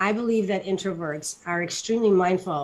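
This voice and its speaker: At a moderate pace, a plain, everyday voice talks with fairly even intonation. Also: woman. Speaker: doctor and leadership speaker. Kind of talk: panel talk answering audience question. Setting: live online talk.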